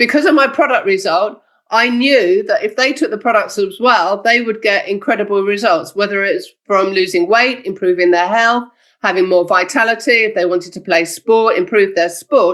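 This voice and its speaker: A woman talks at a moderate pace with a medium pitch and ordinary pitch variation. It is a plain, everyday voice. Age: 60s. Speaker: network marketing distributor and trainer. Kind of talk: motivational training talk. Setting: video call.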